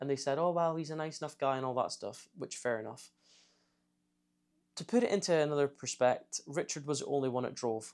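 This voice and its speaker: This man speaks with a Scottish accent and a fairly high pitch. His pace is fairly quick, with ordinary pitch variation. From Scotland. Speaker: YouTuber, ex-Navy trainee. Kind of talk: storytime vlog. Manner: casual, conversational.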